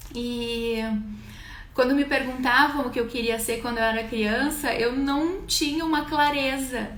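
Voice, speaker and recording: A woman with a high pitch speaks at a fairly slow pace amid audible room echo. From Brazil, Rio Grande do Sul (Garibaldi, interior). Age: 20s. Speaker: livestreamer telling her life story. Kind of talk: personal storytelling livestream. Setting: live stream. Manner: conversational, with hesitations.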